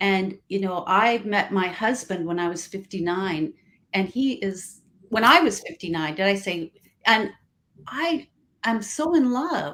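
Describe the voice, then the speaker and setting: A woman with an ordinary speaking voice, medium pitch, lively intonation, and a fairly slow pace. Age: 60s. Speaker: relationship coach. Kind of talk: casual chat. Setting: live stream.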